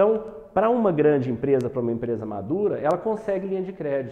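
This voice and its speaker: A man at a fairly quick pace, with very wide pitch swings and audible room echo. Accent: Minas Gerais. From Brazil, Uberlândia, Minas Gerais. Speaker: entrepreneur and business educator. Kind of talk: online masterclass lecture. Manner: hesitant, many fillers and repetitions.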